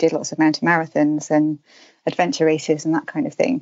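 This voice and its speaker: Speaking with a southern English accent, a woman has fairly low pitch, fairly even intonation and a fairly quick pace. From southern England, London and Herefordshire. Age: 40s. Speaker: outdoor writer and runner. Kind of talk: casual interview.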